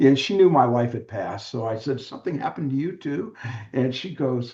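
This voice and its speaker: A man's medium-pitched, somewhat breathy voice with a dark, mellow tone and a General American accent, at a moderate pace with ordinary pitch variation. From US West Coast, San Diego. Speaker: author and widower support mentor. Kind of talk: interview conversation.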